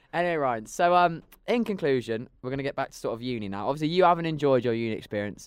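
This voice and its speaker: This man has a fairly high pitch and lively intonation. He speaks at a very fast pace. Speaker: podcast host. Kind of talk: casual chat. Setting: studio.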